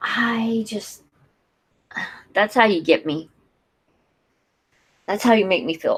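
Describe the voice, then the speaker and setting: A woman's fairly high, somewhat breathy voice at a very slow pace, with ordinary pitch variation and long, frequent pauses. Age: 30s. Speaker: youtuber. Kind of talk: casual chat. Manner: animated.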